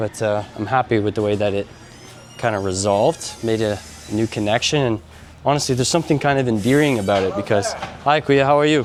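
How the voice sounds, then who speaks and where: The talker goes very fast in a Canadian accent with ordinary pitch variation. Noticeable background noise can be heard. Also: man, medium pitch for a man. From Canada. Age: 30s. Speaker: vlogger. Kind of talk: casual vlog chat.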